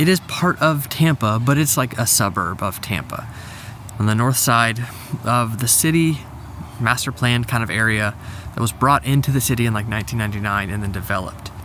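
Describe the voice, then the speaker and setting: There is noticeable background noise behind this man. He speaks at a fairly quick pace and medium pitch with ordinary pitch variation. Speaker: real estate agent. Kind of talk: vlog. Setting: outdoors in a parking lot. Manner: casual, filler-heavy.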